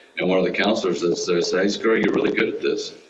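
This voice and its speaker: A man with an American accent amid noticeable background noise and audible room echo. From Texas. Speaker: nonprofit executive. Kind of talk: Q&A at a club meeting. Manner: casual.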